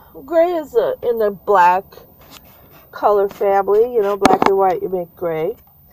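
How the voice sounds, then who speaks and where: Lively intonation at a fairly slow pace comes through noticeable background noise. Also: woman. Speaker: RV traveller and vlogger. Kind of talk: casual talk to camera.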